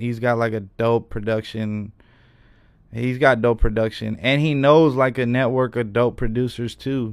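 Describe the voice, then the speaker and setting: A man with an American accent and an unremarkable speaking voice talks at a moderate pace and medium pitch. His intonation is fairly even, and the recording is very clean with a silent background. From Reno, Nevada. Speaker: rapper. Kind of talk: casual chat. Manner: casual, laughing.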